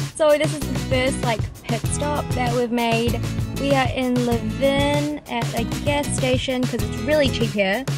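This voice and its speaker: A woman talks at a fairly slow pace over loud background music, the sound dry with no echo. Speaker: vlogger. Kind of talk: casual vlog talk to camera. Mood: cheerful, chatty. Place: car. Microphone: phone near.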